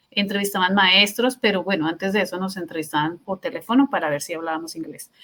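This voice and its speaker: With a Colombian accent, a woman talks at a very fast pace and hardly pauses. Her pitch is medium, with ordinary variation. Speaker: teacher. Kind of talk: interview. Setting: podcast. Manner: halting.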